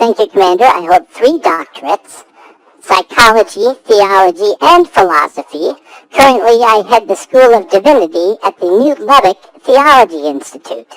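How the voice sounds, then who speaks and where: A put-on character voice, female-sounding, fairly high in pitch, at a moderate pace. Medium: audio drama.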